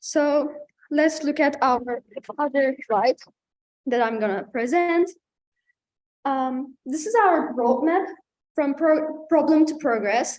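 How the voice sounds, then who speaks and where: A high-pitched woman's voice with a Turkish accent, a very slow pace and long, frequent pauses. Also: ordinary pitch variation. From Turkey. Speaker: student panelist. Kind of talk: panel presentation. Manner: halting.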